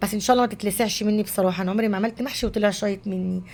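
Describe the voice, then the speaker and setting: A woman speaks over noticeable background noise. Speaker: home cooking vlogger. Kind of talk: cooking vlog narration. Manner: casual, conversational.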